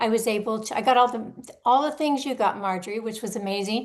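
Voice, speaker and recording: A woman speaks in an unremarkable speaking voice at fairly high pitch. Her intonation stays fairly even. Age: 60s. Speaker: liver transplant patient. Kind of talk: panel introduction.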